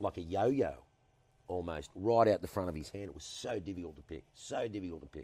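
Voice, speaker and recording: Very deep and low, a man's dark, mellow voice carries an Australian accent and ordinary pitch variation. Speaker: former cricketer and TV personality. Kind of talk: interview answer. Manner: charismatic, humorous storytelling.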